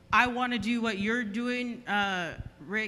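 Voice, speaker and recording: A woman's bright, sharp voice at a fairly slow pace, with audible room echo. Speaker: audience member, cleaning business owner. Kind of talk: audience Q&A. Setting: stage with audience.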